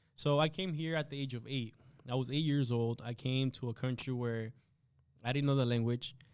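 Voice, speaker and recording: Speaking at a moderate pace with a Spanish accent, a man holds a medium pitch and a fairly even intonation. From Guatemala. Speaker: insurance agent. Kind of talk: interview. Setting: studio. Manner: halting.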